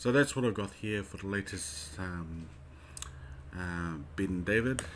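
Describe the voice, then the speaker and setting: Speaking with a New Zealand accent, a man uses lively intonation at a very deep, low pitch. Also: fairly slow pace. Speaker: Bible code researcher. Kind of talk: casual screen-share commentary. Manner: hesitant, casual.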